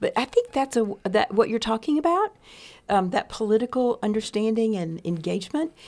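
In a very clean recording with a silent background, a woman with a Texan accent speaks at a fairly high pitch with lively intonation. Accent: Texan Southern American. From US South, East Texas. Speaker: retired pastor and seminary president. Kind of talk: casual interview.

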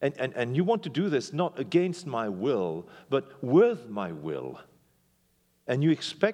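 The speaker uses a French accent and an animated tone at a fairly slow pace over a quiet background. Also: man. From Belgium. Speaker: pastor. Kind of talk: sermon. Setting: church.

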